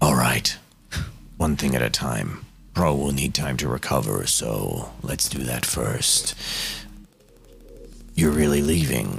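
A man uses a put-on character voice with a very deep, low pitch. He speaks at a fairly slow pace with long, frequent pauses. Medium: actual play. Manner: calm, precise, emotionally detached.

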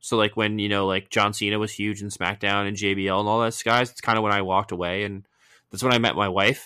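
On a very clean recording with a silent background, a man with a fairly low pitch and a bright, sharp tone speaks at a very fast pace in a monotone, flat intonation. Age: 30s. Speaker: wrestling podcast co-host. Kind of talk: casual chat.

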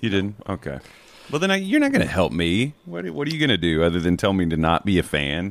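Very deep and low, a man's voice with an American accent races along at a very fast pace with lively intonation. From rural US South. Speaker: basketball analyst. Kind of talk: casual chat.

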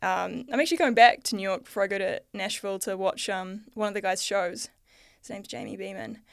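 Over a silent background on a very clean recording, a woman with a New Zealand accent talks at a fairly quick pace, her loudness swinging widely. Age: 30s. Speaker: artist and podcaster. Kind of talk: interview conversation.

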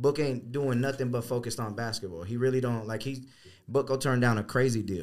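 A man's normal speaking voice at a fairly quick pace, with fairly even intonation, on a very clean recording with a silent background. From Arizona (born in Connecticut). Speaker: sneaker store owner. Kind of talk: casual chat.

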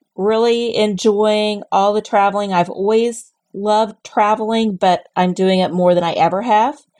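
A woman's plain, everyday voice, fairly high in pitch, with an American accent, a moderate pace, fairly even intonation, very even loudness and hardly any pauses. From Southern Illinois. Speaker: travel agent. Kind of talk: casual interview chat.

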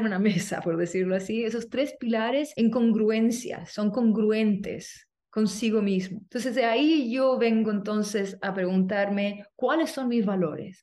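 In a plain, everyday voice, a woman speaks at a fairly slow pace and fairly high pitch with ordinary pitch variation, hardly any pauses, and a quiet background. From Chile. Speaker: movement teacher and artist. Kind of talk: interview conversation.

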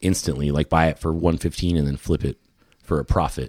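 In a dry, close sound with no echo, a man with a very deep, low pitch talks at a fairly quick pace in a flat monotone. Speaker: fishing lure maker. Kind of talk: casual chat. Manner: rambling, all over the place.

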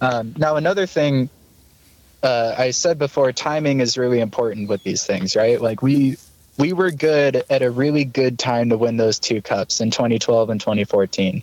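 Heard with a dry, close sound and no echo, a man with an American accent and a normal speaking voice talks at a moderate pace, with ordinary pitch variation and very even loudness. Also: medium pitch for a man. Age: 20s. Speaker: hockey fan podcast guest. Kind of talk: casual chat.

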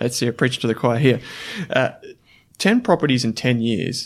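An Australian accent at a moderate pace. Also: man. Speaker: podcast host. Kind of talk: interview conversation.

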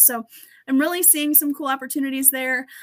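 A woman speaks in a raised, projected voice with an American accent. Her tone is bright and sharp, and her pitch is high. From US Midwest. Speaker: race car driver and team owner. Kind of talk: casual interview chat. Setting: live online show.

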